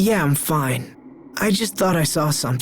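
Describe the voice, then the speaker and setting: Doing a put-on character voice, a raspy man speaks at a moderate pace with a fairly high pitch and lively intonation. Background noise is clearly audible. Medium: video game.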